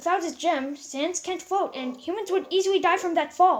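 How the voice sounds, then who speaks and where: The pace is moderate. It's a put-on character voice. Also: woman, extremely high pitch for a woman. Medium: read story.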